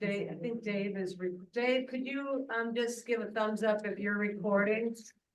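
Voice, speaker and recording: A woman speaks with a fairly high pitch and fairly even intonation. Audible room echo surrounds her voice. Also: moderate pace. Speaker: planning commission staff. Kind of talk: committee meeting. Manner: loud. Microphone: audio issues in meeting.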